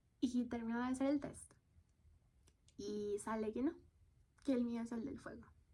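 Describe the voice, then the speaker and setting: This woman's voice sits high in pitch with ordinary pitch variation. She speaks at a fairly slow pace. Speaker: content creator. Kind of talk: casual podcast-style monologue.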